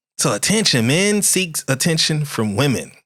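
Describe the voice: On a very clean recording with a silent background, a man speaks at a fairly high pitch and a moderate pace, with a fairly bright tone and big pitch swings.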